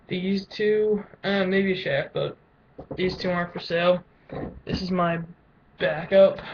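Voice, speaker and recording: A man talks at a fairly slow pace in a high pitch with monotone, flat intonation. Long, frequent pauses break his speech over noticeable background noise. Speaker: lacrosse player vlogger. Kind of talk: casual webcam show-and-tell. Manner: halting, stuttering.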